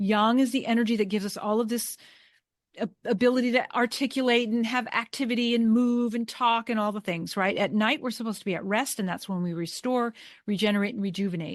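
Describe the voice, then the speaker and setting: Over a quiet background, a woman speaks very fast in a fairly high voice with ordinary pitch variation. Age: 60s. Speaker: Chinese medicine practitioner and author. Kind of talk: interview. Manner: halting.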